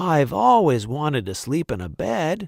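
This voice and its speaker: A man puts on a raspy character voice with a gentle tone at a medium pitch. He speaks at a moderate pace on a very clean recording with a silent background. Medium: read story. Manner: wondering, gentle.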